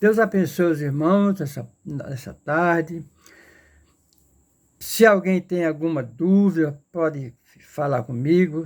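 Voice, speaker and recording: A man at a very slow pace in a very clean recording with a silent background. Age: 70s. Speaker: lay preacher. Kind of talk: sermon. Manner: halting, repetitive.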